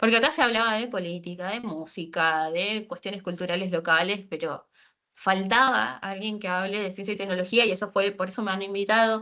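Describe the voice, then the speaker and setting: A woman's bright, sharp voice at medium pitch, fairly quick, with ordinary pitch variation against a quiet background. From Argentina, Posadas, Misiones. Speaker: science communicator, data engineer. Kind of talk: online talk. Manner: fast; hesitant fillers.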